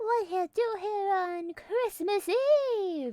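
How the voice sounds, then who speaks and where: An extremely high-pitched, put-on character voice at a very slow pace. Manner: stern.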